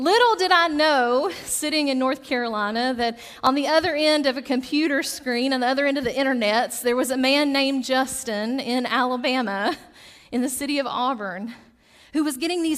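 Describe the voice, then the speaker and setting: Here a woman speaks at a high pitch in a Southern US accent. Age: 30s. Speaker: pastor. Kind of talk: sermon. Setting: church.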